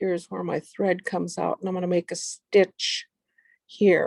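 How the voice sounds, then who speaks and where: Dry, close sound without echo around a female voice. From Alaska, Kodiak Island. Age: 70s. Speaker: craft demonstrator. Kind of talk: tutorial.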